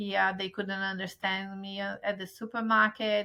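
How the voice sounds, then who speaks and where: A woman speaks with a strong Brazilian accent at a medium pitch. Her intonation is monotone and flat. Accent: Brazilian accent in English, still strong. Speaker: travel agent. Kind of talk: interview.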